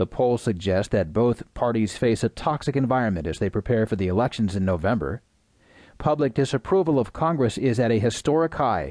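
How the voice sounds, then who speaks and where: A man's dark, mellow tone with lively intonation, dry and close with no echo, over a quiet background. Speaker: audiobook news narrator. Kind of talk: scripted news reading of newspaper front-page stories. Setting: studio recording. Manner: measured, even newsreader cadence, steady formal delivery; formal, neutral and impersonal, reading headlines crisply.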